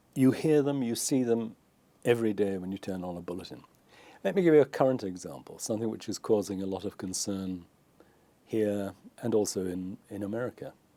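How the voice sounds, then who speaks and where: Speaking at a fairly quick pace with a British accent, a man with a fairly low pitch comes through on a very clean recording with a silent background. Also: ordinary pitch variation. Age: 70s. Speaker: former journalist, commentator. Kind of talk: interview.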